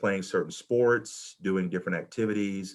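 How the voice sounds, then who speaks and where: The intonation stays fairly even. It comes with a Southern US accent. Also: man, quiet background. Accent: Southern US, noticeable to a Midwest audience. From US South. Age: 40s. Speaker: college administrator and panelist. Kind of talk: panel talk sharing personal experience. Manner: halting, many fillers and repetitions.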